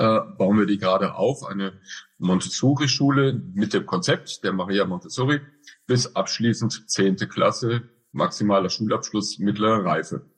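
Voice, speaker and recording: The voice belongs to a man and is somewhat breathy. Around it, all is quiet. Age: 50s. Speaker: director of a school for the blind. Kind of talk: interview. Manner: hesitant with fillers.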